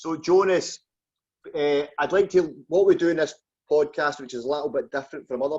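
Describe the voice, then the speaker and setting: A man speaks with a Glaswegian accent at a moderate pace. His pitch variation is ordinary. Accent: Glaswegian Scottish. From Scotland, just outside Glasgow. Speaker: podcast host. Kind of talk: interview.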